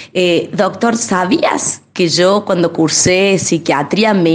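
Fairly low pitch from a woman, very slow in pace, with ordinary pitch variation. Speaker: physician, co-presenter. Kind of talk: radio interview.

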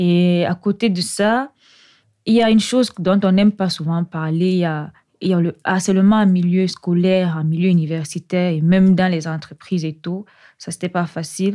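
An ordinary speaking voice from a woman at fairly low pitch and moderate pace, on a very clean recording with a silent background. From Cameroon, Yaoundé. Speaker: doctoral researcher in computer science. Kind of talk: interview.

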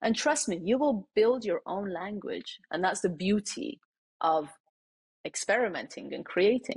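A somewhat breathy woman's voice, fairly high in pitch, with lively intonation and long, frequent pauses. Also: moderate pace. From Iran. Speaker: wellness designer and TikToker. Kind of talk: casual interview chat.

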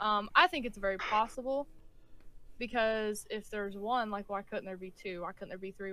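A woman's tone is bright and sharp, her pitch fairly high. She speaks at a fairly quick pace. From US South (West Virginia). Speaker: podcast co-host. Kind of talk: casual chat.

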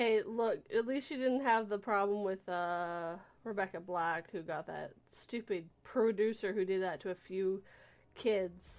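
With a plain, everyday voice, a woman speaks fairly slowly at medium pitch with ordinary pitch variation. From western Canada, Vancouver area. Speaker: live stream host. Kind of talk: casual chat. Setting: live stream.

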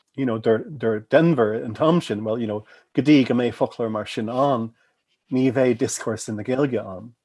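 Over a quiet background, a man talks at a moderate pace in a medium-pitched voice with a dark, mellow tone and ordinary pitch variation. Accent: American. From US Midwest; Chicago. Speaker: anthropologist, professor. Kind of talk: interview conversation about academic work. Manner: casual, conversational.

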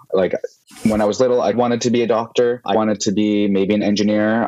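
In a Canadian accent, a man with an unremarkable speaking voice and fairly low pitch talks at a fairly quick pace. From Vancouver, Canada. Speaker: sommelier and wine content creator. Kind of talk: interview conversation.

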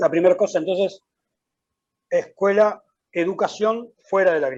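The speaker is a man. His pitch is high. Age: 50s. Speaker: education consultant. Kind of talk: interview. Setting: video call. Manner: halting.

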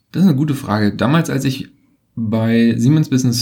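A man's somewhat breathy, medium-pitched voice with a dark, mellow tone, moving at a fairly quick pace. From Berlin, Germany. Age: 40s. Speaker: consultancy managing partner. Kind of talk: interview. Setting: office. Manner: halting, many fillers.

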